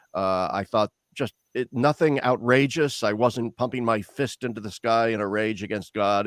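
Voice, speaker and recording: The speaker talks at a moderate pace in a Midwestern US accent, with a dry, close sound and no echo. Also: man. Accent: General American, Midwestern. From US Midwest, Lincoln, Nebraska. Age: 60s. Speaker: theologian. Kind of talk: interview. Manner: halting, many fillers and repetitions.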